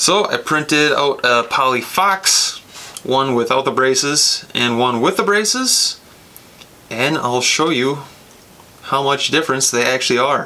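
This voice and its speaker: Speaking at a fairly slow pace, a man leaves long, frequent pauses, and his pitch varies in an ordinary way. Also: very even loudness. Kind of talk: tutorial. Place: workshop.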